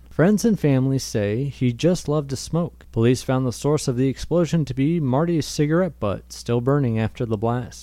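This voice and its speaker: The voice is an unremarkable speaking voice. It moves at a moderate pace with ordinary pitch variation. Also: man. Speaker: fictional radio host, comedy podcast.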